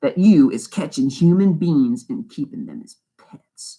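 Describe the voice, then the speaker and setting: Putting on a menacing, growling character voice at high pitch, a man speaks at a moderate pace. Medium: read story. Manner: mocking, menacing.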